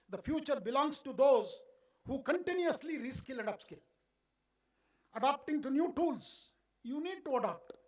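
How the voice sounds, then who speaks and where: A man's extremely high voice with a Karnataka accent, lively intonation, moderate pace, and long, frequent pauses. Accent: Indian English (Kannada). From India, Karnataka (Bengaluru). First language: Kannada. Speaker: education official. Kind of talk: keynote speech.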